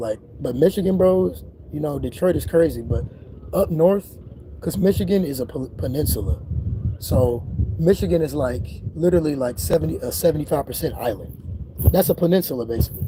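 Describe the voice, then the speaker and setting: Against noticeable background noise, a man at medium pitch talks in an animated tone at a fairly quick pace with very wide pitch swings. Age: 20s. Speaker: spiritual YouTuber. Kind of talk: casual livestream monologue. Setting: outdoors.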